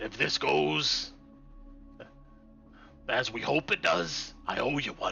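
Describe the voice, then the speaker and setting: A man whispers in a raspy, put-on character voice at a fairly slow pace, with long, frequent pauses. Music plays in the background. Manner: whispering.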